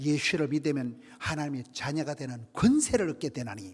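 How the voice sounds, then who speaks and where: A man speaks with very wide pitch swings. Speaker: revival preacher. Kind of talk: sermon. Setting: church. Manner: animated.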